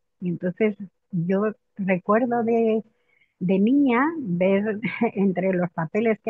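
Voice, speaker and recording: A woman's medium-pitched voice proceeds at a very slow pace. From Spain, Madrid. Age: 70s. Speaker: biographical work practitioner. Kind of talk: interview conversation. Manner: hesitant, many repetitions.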